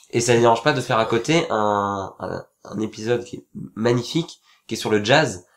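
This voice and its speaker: A man speaks at a moderate pace and medium pitch with ordinary pitch variation. His loudness swings widely. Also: very clean recording, silent background. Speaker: podcast host. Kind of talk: casual chat. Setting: studio.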